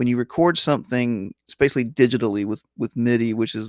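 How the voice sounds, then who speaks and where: A man talks at a moderate pace with medium pitch and ordinary pitch variation. The sound is dry and close with no echo, and the recording is very clean with a silent background. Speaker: sci-fi and fantasy author. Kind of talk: casual interview chat. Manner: halting, many repetitions.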